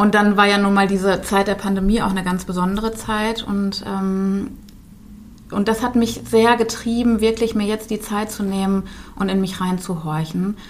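Speaking at a moderate pace, a woman keeps a medium pitch in a monotone, flat intonation. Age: 40s. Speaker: business coach. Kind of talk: interview. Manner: hesitant with frequent fillers.

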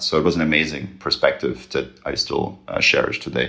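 The speaker is a man. He has a German accent. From Eastern Germany, rural village. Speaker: media executive. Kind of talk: interview conversation. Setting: video call.

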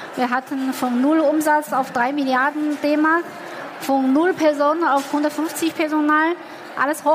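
Amid noticeable background noise, a woman speaks at a high pitch in a monotone, flat intonation, keeping a very even loudness at a fairly slow pace with long, frequent pauses. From China. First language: Chinese (speaking German). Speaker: entrepreneur. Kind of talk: interview. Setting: stage with audience.

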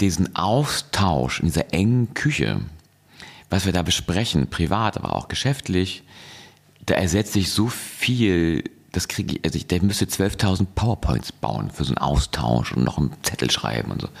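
A man with a very deep, low pitch and vocal fry speaks at a moderate pace, his pitch swinging very widely. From Hamburg, northern Germany. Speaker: entrepreneur, soft drink company founder. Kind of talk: interview. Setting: studio. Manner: calm, measured.

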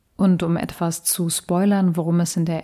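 A woman speaks in a fairly low pitch with a dark, mellow tone and monotone, flat intonation. The recording is very clean, with a silent background. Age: 30s. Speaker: study coach and podcast host. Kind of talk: solo podcast introduction.

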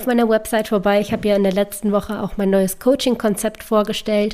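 A woman talks at a very fast pace. Her pitch sits fairly high. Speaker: podcast host on nutrition psychology. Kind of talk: solo educational podcast.

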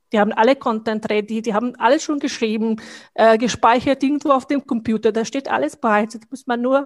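Fairly high in pitch, a woman talks at a moderate pace with ordinary pitch variation. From Bosnia. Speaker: business professional and networking leader. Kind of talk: casual interview conversation. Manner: halting, with fillers and repetitions.

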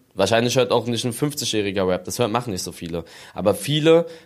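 A man speaks at a medium pitch with ordinary pitch variation. He has a normal speaking voice. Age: 20s. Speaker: YouTuber and streamer. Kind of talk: casual chat.

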